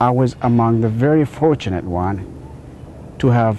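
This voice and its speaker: In an Ethiopian accent, a man with a fairly low pitch speaks at a moderate pace with lively intonation. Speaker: inventor telling his life story. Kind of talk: storytelling speech.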